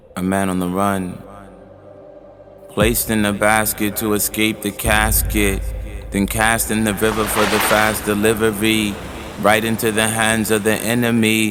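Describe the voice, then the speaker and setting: Music plays in the background as a man speaks at a fairly slow pace with a fairly low pitch. His intonation is monotone and flat, with long, frequent pauses. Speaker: spoken word poet. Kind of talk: spoken word poetry performance.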